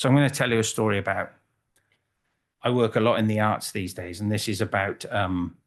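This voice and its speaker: With a Welsh accent and fairly even intonation, a man talks over a quiet background. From Wales, Cardiff. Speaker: photographer. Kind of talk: conference talk. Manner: halting.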